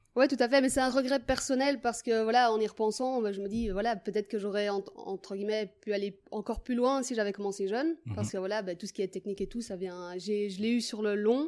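A woman with an ordinary speaking voice talks at a fairly quick pace and a fairly high pitch, with ordinary pitch variation. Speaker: footballer and PE teacher. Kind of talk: interview.

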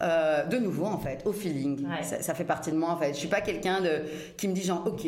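A woman speaks at a fairly quick pace in a fairly low pitch. Noticeable background noise and audible room echo fill the recording. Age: 30s. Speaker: fashion entrepreneur. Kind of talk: interview. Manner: animated.

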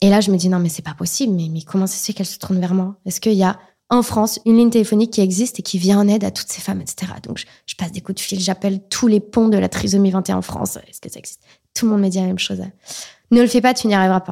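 A woman talks at a very fast pace with big swings in loudness. Her medium-pitched voice is somewhat breathy with a dark, mellow tone. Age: 20s. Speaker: association founder and mother of a child with Down syndrome. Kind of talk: testimony. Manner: animated.

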